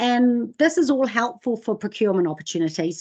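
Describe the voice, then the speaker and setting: A woman with a New Zealand accent against a quiet background. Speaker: sustainability training presenter. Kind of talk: webinar presentation. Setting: online webinar. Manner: fast.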